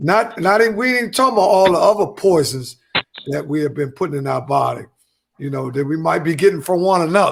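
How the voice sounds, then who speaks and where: With an American accent, a man talks at a very fast pace. His high voice has lively intonation. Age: 50s. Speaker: podcast co-host. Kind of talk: casual chat.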